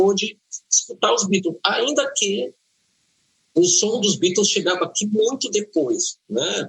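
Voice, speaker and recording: With a high pitch and lively intonation, a man talks at a very slow pace in very even loudness, leaving long, frequent pauses. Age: 60s. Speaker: journalist and radio broadcaster. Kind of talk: interview.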